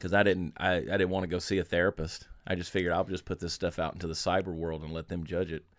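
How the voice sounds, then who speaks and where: A man with an American accent at a very deep, low pitch, very fast with hardly any pauses, monotone and flat, on a very clean recording with a silent background. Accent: Southern US, somewhat toned down. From US South, Augusta, Georgia. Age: 40s. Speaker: humorist and storyteller. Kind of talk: casual interview chat. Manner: fast talker.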